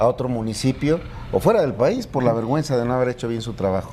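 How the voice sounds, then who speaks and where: Speaking at a fairly quick pace, a man with a medium pitch and ordinary pitch variation is heard over noticeable background noise. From Mexico, Hidalgo. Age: 60s. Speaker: politician, gubernatorial candidate. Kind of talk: interview. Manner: halting.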